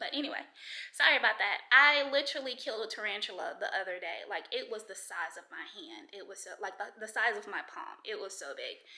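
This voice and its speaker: A woman talks at a very fast clip with lively intonation. Her pitch sits fairly high. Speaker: vlogger. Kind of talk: casual vlog talk to camera. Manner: rambling, with many fillers.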